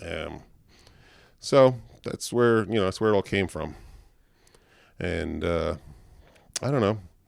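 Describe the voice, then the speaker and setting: A man with a Long Island accent speaks at a moderate pace in a very deep, low voice with lively intonation, on a very clean recording with a silent background. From Long Island, New York. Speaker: guitarist. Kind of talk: casual interview chat. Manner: many fillers (um, uh).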